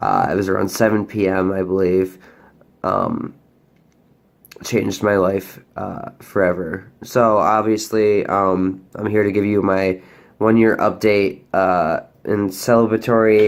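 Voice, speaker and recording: Speaking at a fairly slow pace, a man talks in a monotone with flat intonation. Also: fairly low pitch for a man. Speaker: vlogger. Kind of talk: personal update vlog. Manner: hesitant, many fillers.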